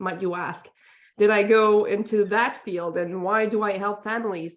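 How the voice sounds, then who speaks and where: Against a quiet background, a woman with a Quebec accent speaks at a medium pitch. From Quebec, Montreal. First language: French. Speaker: parenting coach. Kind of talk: interview. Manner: hesitant, many fillers.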